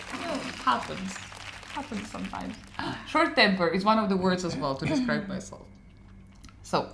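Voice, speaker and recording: With a Slavic accent, a woman speaks in an animated tone at a medium pitch and a fairly quick pace, with very wide pitch swings. Long, frequent pauses break up her speech, and audible room echo and noticeable background noise come through. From Ukraine. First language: Ukrainian or Russian. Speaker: podcast co-host. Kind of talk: casual chat.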